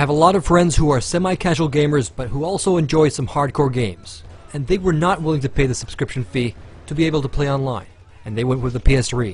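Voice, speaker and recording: A man's fairly high, somewhat breathy voice at a very fast pace, with ordinary pitch variation. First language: Finnish. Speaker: gaming video reviewer. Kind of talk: scripted narration.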